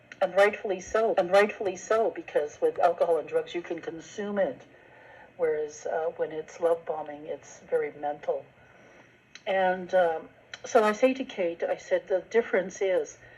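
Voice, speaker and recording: Medium in pitch, a woman's voice comes through. Noticeable background noise is present. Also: ordinary pitch variation, moderate pace. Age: 70s. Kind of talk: personal video monologue. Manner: halting, many fillers.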